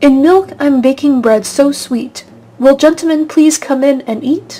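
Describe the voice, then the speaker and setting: A sing-song, put-on character voice at a moderate pace. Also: woman, high pitch for a woman. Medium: read story. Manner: rhyming, sing-song.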